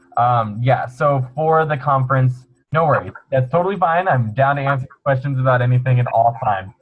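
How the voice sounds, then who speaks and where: A man talks with very even loudness. Music plays behind him. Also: medium pitch for a man, ordinary pitch variation. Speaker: student organization officer. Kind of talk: webinar Q&A explanation. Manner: fast; casual, upbeat.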